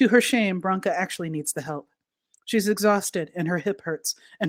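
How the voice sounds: A natural reading voice, with ordinary pitch variation, over a quiet background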